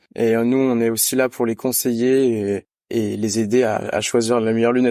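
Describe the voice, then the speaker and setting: A man talks at a moderate pace at medium pitch, his intonation monotone and flat. His tone is dark and mellow, and the sound is dry and close with no echo. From France, countryside between Lyon and Grenoble. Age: 20s. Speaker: optician apprentice student. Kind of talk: interview. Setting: video call. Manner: hesitant with frequent fillers.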